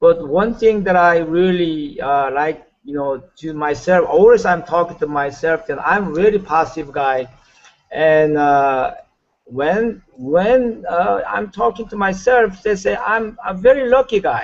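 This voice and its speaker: A man with a Korean accent speaks at a fairly slow pace in a high pitch with lively intonation. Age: 60s. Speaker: network marketing leader. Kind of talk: motivational talk. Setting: video call. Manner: halting.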